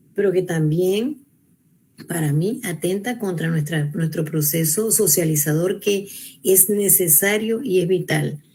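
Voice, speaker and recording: A woman speaks at a fairly slow pace in a somewhat breathy voice with a dark, mellow tone, medium pitch and ordinary pitch variation. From Venezuela. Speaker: researcher and university educator. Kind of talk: panel talk. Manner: hesitant, with false starts.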